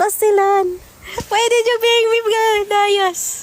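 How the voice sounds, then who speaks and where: At a very slow pace, a woman speaks with an extremely high pitch. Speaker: mobile game livestreamer. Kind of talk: live gaming stream chat. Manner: animated.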